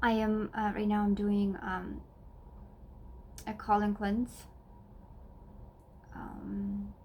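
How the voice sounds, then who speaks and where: A woman with a Russian accent, very slow, with long, frequent pauses. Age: 30s. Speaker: wellness vlogger. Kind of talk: personal vlog talk. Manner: halting, many fillers.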